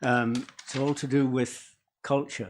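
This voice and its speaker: Speaking at a fairly slow pace, a man has an English accent. His pitch sits in the medium range. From England. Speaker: public submitter. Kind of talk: public hearing submission. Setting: council meeting with audience.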